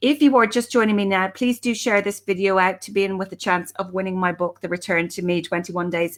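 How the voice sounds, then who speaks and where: In an Irish accent, a woman talks at a fairly quick pace with a medium pitch and ordinary pitch variation. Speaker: life coach. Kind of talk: live stream talk. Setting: live video stream. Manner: fast.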